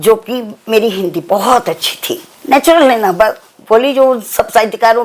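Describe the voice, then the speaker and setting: A woman with a fairly high pitch talks with lively intonation over noticeable background noise. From Bihar, India. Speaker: writer. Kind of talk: interview.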